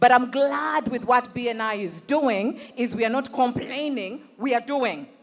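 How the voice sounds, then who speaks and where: Over noticeable background noise, a woman speaks at a high pitch and a fairly slow pace with ordinary pitch variation. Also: hardly any pauses. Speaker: panel moderator. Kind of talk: panel moderation. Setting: stage with audience. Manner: animated.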